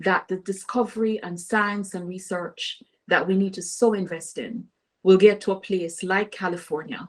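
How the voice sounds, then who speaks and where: In a Caribbean accent, a woman speaks fairly slowly at medium pitch, her intonation fairly even but her loudness swinging widely. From Caribbean island. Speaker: political candidate. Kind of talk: interview. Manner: halting.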